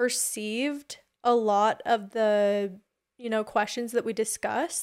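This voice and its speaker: In a normal speaking voice, a woman with a fairly high pitch speaks at a fairly slow pace on a very clean recording with a silent background. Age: 20s. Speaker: reality tv personality. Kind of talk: casual chat.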